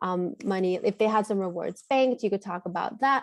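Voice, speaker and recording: A woman talks at a fairly quick pace and medium pitch with ordinary pitch variation. The sound is dry and close, with no echo. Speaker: clinical trainer. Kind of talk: training webinar. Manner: fast; animated.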